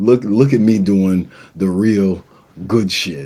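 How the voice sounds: Speaking slowly in a low pitch, a man has a dark, mellow tone with a slightly husky edge and ordinary pitch variation.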